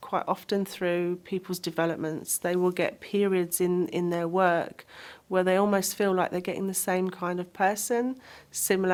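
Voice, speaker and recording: A woman's medium-pitched voice, fairly even in intonation, at a moderate pace, on a very clean recording with a silent background. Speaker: psychic medium. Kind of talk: interview. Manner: outgoing, not quiet.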